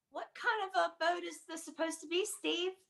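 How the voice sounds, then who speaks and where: A woman puts on a squeaky character voice at an extremely high pitch. She goes at a fairly quick pace with big swings in loudness. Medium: stage play.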